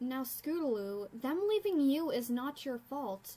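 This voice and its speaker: A female-sounding, put-on character voice speaks at a high pitch and a fairly slow pace. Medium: dub. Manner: gentle, reassuring.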